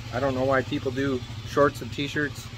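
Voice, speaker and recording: Music plays in the background as the speech moves at a fairly quick pace. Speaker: motorcycle vlogger. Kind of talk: casual vlog talk. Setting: riding a motorcycle outdoors. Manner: loud, yelling.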